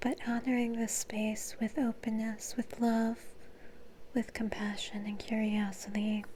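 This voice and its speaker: Soft-spoken and at a fairly slow pace, the speaker talks with monotone, flat intonation. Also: woman, fairly high pitch for a woman. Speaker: reiki and energy healing practitioner. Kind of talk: ASMR energy healing session.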